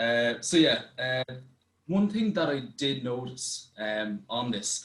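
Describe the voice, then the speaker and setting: This man has a medium pitch and speaks with an Irish accent. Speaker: youth participant. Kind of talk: presentation. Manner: fast.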